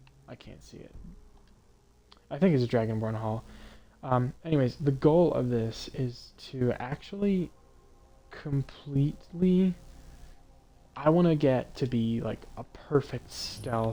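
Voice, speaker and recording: With music in the background, a man speaks at a fairly slow pace and a medium pitch, using ordinary pitch variation, big swings in loudness, and long, frequent pauses. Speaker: gaming streamer. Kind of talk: let's play commentary. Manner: quiet; casual, halting with fillers.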